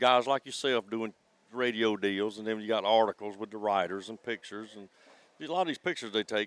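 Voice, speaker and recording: A man with an American accent speaks in a plain, everyday voice at a moderate pace, his fairly low pitch paired with big swings in loudness and a dry, close sound with no echo. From South Carolina, Santee Cooper swamp area. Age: 60s. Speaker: crappie tournament angler. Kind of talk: casual interview chat.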